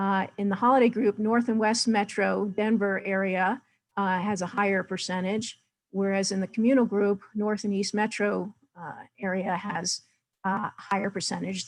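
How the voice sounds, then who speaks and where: Here a woman has an ordinary speaking voice, medium in pitch, with fairly even intonation at a moderate pace. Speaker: data presenter. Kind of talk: webinar presentation.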